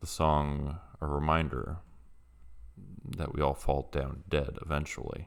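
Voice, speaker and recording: Very deep and low, a man's voice with vocal fry drags along fairly slowly in a flat monotone, broken by long, frequent pauses. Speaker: storyteller. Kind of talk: horror story narration. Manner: hesitant, casual.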